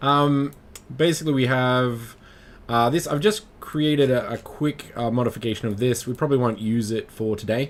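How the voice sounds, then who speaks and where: In an Australian accent, a man talks at a moderate pace and medium pitch with ordinary pitch variation. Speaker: 3D modelling instructor, livestreamer. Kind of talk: live-streamed tutorial. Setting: live stream. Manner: halting, many fillers.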